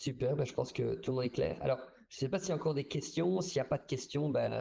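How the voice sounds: A man with a dark, mellow tone, a slightly husky edge and vocal fry speaks at a fast pace. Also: medium pitch for a man, ordinary pitch variation.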